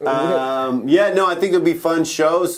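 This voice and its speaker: A man speaks in a normal speaking voice at a fairly slow pace. His pitch varies in an ordinary way. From Canada (Vancouver). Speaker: stand-up comedian. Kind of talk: casual interview.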